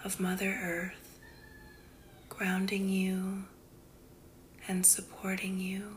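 Noticeable background noise is present. The woman's voice sits at a medium pitch. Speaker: wellness podcast host and esthetician. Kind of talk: guided meditation. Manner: soothing, slow and gentle, with a calm, unhurried pace; warm and affectionate, addressing listeners as 'goddess'.

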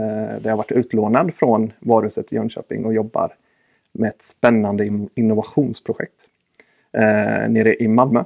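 A man with a medium pitch keeps his speech at a moderate pace. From Sweden, Östergötland. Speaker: retail sales manager. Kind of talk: casual interview.

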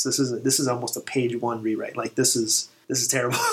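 A man with an American accent talks very fast in a medium-pitched voice. Noticeable noise sits in the background. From Texas, El Paso. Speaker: army veteran and writer. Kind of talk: casual chat. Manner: halting, repeats words.

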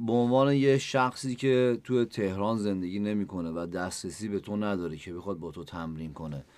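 With an unremarkable speaking voice, a man talks at a fairly quick pace in a fairly low pitch, with lively intonation, big swings in loudness, and hardly any pauses, on a very clean recording with a silent background. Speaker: podcast host. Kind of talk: interview.

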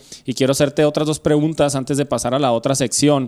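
A man's very fast, monotone delivery with flat intonation. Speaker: podcast host. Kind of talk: casual chat. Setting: home studio.

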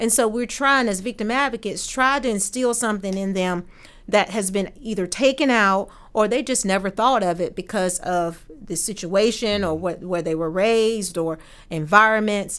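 The speaker has an unremarkable speaking voice, with an American accent and ordinary pitch variation. The pace is moderate, and the recording is very clean with a silent background. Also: woman, medium pitch for a woman. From Norfolk, Virginia. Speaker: victim advocate. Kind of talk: interview.

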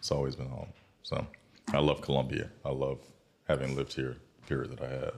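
With vocal fry and a very deep, low pitch, a man in a South Carolina accent talks at a fairly quick pace in a monotone, flat intonation, broken by long, frequent pauses. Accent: US Southern (South Carolina). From South Carolina (Bamberg, Sumter). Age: young. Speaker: entrepreneur and leather craftsman, former lobbyist. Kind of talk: casual interview. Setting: studio.

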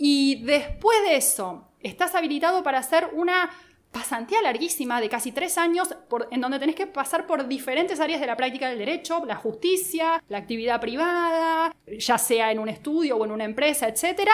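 A woman speaks at a high pitch with lively intonation. Her pace is moderate, with hardly any pauses. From Argentina, Buenos Aires. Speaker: lawyer. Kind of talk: casual interview. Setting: studio.

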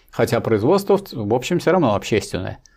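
A man speaks fairly quickly, his pitch swinging very widely, against a quiet background. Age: 70s. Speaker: professor and Marxist political theorist. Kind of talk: lecture-style answers to viewer questions. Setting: live online stream. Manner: didactic, with hesitations and repetitions.

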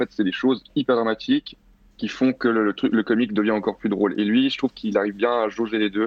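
Very fast and monotone, a man speaks at a medium pitch with very even loudness. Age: 20s. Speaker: film director and critic. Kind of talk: panel discussion.

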